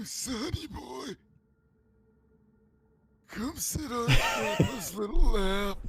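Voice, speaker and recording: A very slow, high-pitched put-on character voice from a man. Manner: exaggerated old-man voice.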